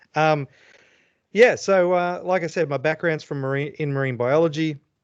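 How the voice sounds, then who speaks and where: In an Australian accent, a man with a fairly high pitch talks at a moderate pace with ordinary pitch variation. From Australia (Brisbane). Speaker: fisheries scientist and professor. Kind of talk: presentation to a club meeting. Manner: hesitant, many fillers.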